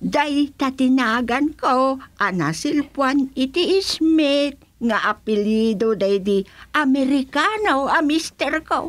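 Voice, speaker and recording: A woman puts on a character voice, pitched high with lively intonation. She speaks at a very slow pace. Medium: audio drama.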